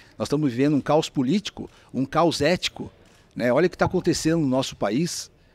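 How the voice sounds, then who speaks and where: Here is a man with an ordinary speaking voice, fairly high in pitch, at a fairly quick pace. The sound is dry and close with no echo, on a very clean recording with a silent background. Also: ordinary pitch variation. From São Paulo, Brazil (Mooca, east side). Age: 60s. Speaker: franchise businessman. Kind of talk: interview conversation. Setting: restaurant.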